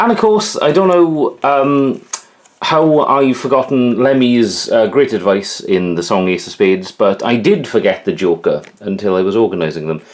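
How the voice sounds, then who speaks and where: The speaker has a Welsh accent and talks at a moderate pace against noticeable background noise. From Wales. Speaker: YouTuber showing his collection. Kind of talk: casual show-and-tell vlog. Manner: casual, hesitant with many fillers.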